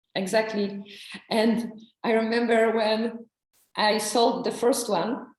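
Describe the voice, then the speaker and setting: Audible room echo surrounds a woman speaking fairly slowly at a fairly high pitch, her intonation monotone and flat and her loudness very even. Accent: non-native. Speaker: ayurveda therapist and psychologist. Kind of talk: interview. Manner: halting.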